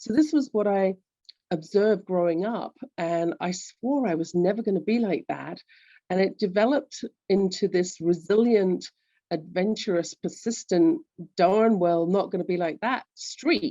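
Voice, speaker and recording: A woman in a London accent, fairly slow in pace, with lively intonation. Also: medium pitch for a woman. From England, London. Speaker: executive coach. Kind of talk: interview.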